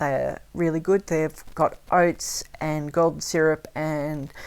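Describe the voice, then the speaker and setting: With an Australian accent, a woman speaks at a fairly slow pace in a very deep, low voice and monotone, flat intonation. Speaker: language teacher. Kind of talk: tutorial. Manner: casual, hesitant with fillers.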